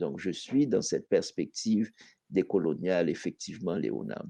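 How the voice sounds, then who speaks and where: Against a quiet background, a man with a Haitian accent talks at a very slow pace in a dark, mellow tone with vocal fry, in a dry, close sound with no echo. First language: Haitian Creole (speaking French). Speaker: poet. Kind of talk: panel discussion.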